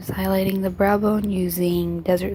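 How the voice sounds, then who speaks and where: The woman talks at a moderate pace while music plays in the background. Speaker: makeup artist. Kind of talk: makeup tutorial voiceover. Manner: casual.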